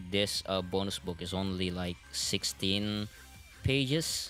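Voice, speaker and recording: Music plays in the background as a man speaks. His pitch is fairly low and his intonation lively. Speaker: vtuber and manga translator. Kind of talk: livestream talk to audience.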